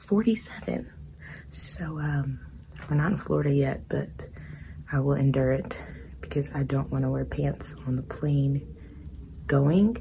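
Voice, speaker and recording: A woman at a fairly slow pace with long, frequent pauses and audible room echo. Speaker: travel vlogger. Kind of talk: casual vlog talk to camera. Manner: quiet, hushed.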